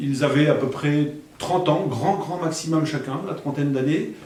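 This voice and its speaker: In a room with audible echo and noticeable background noise, a man with a fairly high pitch speaks at a fairly slow pace. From France, Alençon (Normandy). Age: 60s. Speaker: near-death experience witness. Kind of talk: testimony. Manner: halting.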